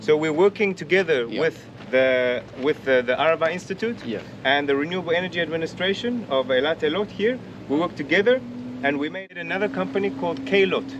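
Noticeable noise fills the background. A man talks fairly quickly in a fairly high pitch with lively intonation. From South Africa. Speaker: environmental project coordinator. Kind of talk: interview during site tour. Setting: outdoor demonstration site. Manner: halting, with many repetitions and fillers. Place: open country. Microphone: camera far.

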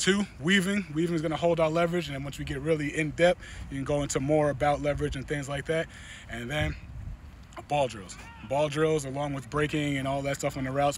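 A man speaks very fast with ordinary pitch variation, the sound dry with no echo and light background noise behind him. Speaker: football coach. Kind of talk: tutorial. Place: stadium.

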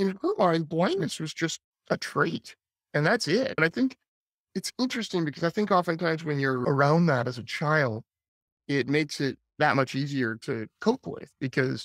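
A man talks at a moderate pace with lively intonation, the sound dry with no echo and the background quiet. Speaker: podcast guest. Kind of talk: interview answer. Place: home room. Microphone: webcam.

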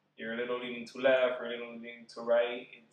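Room echo is audible as a man talks at a fairly quick pace in a monotone, flat intonation. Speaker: guest. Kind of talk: casual conversation answer. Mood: sincere, reflective. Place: home room. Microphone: camera far.

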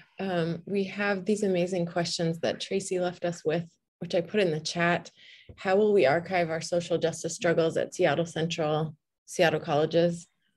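Somewhat breathy, a woman with a fairly low pitch speaks at a moderate pace in a monotone, flat intonation. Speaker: librarian and event moderator; event moderator. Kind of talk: moderating an online panel event. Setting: video call. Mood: warm, engaged. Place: home room. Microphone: webcam.

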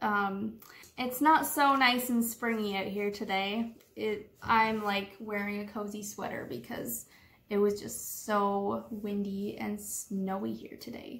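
A woman's very slow delivery with ordinary pitch variation. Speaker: vlogger. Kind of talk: casual vlog chat. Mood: cheerful, excited. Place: home room. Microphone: phone near.

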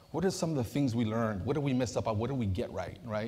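At a very fast pace, a man speaks at a medium pitch with ordinary pitch variation. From Southern California, Santa Ana; California. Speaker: community advocate; panel moderator, presenter. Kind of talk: conference moderation. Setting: stage with audience. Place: hall. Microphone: lapel.

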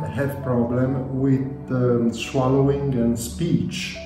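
With audible room echo and clear music in the background, a man speaks at a very slow pace. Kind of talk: interview answer. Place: home room. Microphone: phone near.

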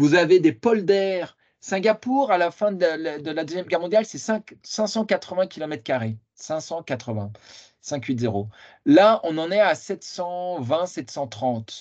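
A man speaks at a very slow pace in a high voice with very wide pitch swings. The background is quiet. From France, Lyon area; France. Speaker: political science researcher; conference lecturer. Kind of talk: lecture. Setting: video call. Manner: halting. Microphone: video call.

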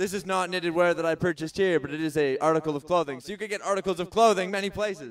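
Over a quiet background, a man with a Canadian accent talks fairly quickly in a high voice with an upbeat, playful tone. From Southern Ontario, Canada. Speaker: festival stage MC. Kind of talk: stage hosting announcements. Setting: outdoor festival stage with audience. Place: stage.

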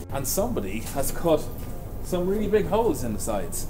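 Clear music playing behind a man talking at a moderate pace. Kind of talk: narrated build vlog. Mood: wry, humorous. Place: workshop.

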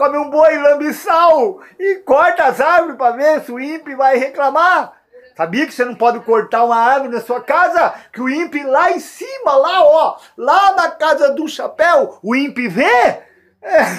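A man's high-pitched voice moves at a fairly slow pace. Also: quiet background. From Brazil. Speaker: YouTuber. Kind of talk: comedic rant. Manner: animated. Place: home room. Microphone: phone near.

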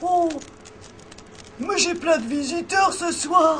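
Against clear background noise, a woman does a cartoonish character voice at an extremely high pitch and a very slow pace. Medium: puppet. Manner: warm, welcoming.

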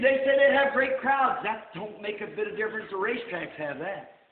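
With an American accent, a man speaks at an extremely high pitch amid audible room echo. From United States. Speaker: preacher. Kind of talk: sermon. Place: church.

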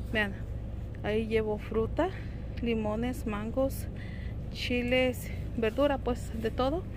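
Speaking at a very slow pace with long, frequent pauses, a woman comes through a dry sound with no echo and noticeable background noise. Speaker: homemaker vlogger. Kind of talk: casual vlog chat. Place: shop. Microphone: phone near.

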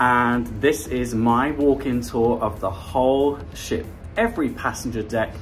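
A man's voice over faint music in the background. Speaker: travel vlogger. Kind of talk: casual vlog chat. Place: boat. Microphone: phone near.

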